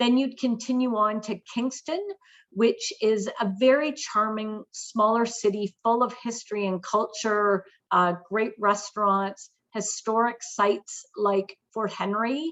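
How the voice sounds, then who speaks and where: A woman with a Canadian accent has a plain, everyday voice at a fairly high pitch. She speaks at a fairly slow pace. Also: fairly even intonation. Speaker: tourism marketing manager. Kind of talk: webinar presentation.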